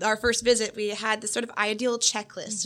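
In an American accent, the speaker's voice comes through bright and sharp in tone. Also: woman. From Florida. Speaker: undergraduate art history student. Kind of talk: podcast conversation.

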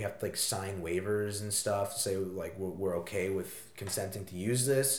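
A man speaking in an American accent keeps a moderate tempo while noticeable background noise carries on. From US Northeast, southeastern Connecticut. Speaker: college student guest. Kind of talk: casual chat.

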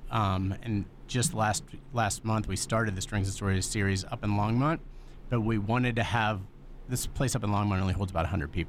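Speaking at a fairly quick pace, a man with a plain, everyday voice keeps his loudness very even, his fairly low pitch moving with ordinary variation. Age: 40s. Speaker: nonprofit executive director. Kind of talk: radio interview.

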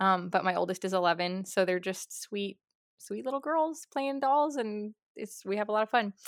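Recorded very cleanly with a silent background and a dry, close sound with no echo, a woman with an American accent talks in an ordinary speaking voice at a moderate pace with ordinary pitch variation. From Southern California. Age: 30s. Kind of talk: casual interview chat.

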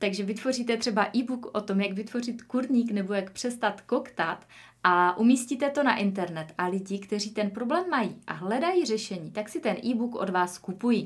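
Fairly high in pitch and somewhat breathy, a woman talks at a fairly quick pace with lively intonation and hardly any pauses. Her recording is very clean, with a silent background. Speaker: podcast host, online entrepreneur. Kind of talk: solo podcast monologue, personal story.

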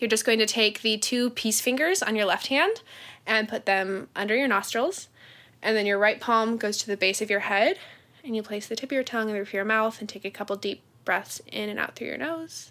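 A woman with a bright, sharp tone talks at a fairly quick pace. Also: fairly high pitch for a woman, ordinary pitch variation. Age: 20s. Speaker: energy worker and coach. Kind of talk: guided meditation; casual chat. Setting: living room.

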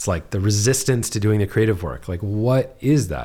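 On a very clean recording with a silent background, a man's voice comes through with vocal fry. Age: 30s. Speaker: podcast host. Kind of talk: casual chat. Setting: living room.

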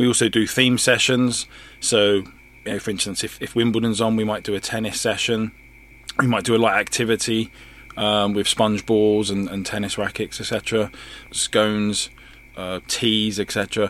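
A man talks at a moderate pace with a fairly low pitch. His intonation is monotone and flat, and there is noticeable background noise. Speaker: charity group coordinator. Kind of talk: radio interview. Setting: studio. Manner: halting.

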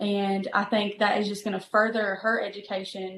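A woman's medium-pitched, moderately paced voice with monotone, flat intonation. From eastern Kentucky, US. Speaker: pastor. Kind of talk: interview.

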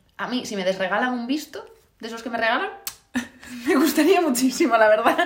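A woman talks at a fairly quick pace with a high pitch. Her intonation is lively, and her loudness swings widely. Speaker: podcast co-host. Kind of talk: casual chat.

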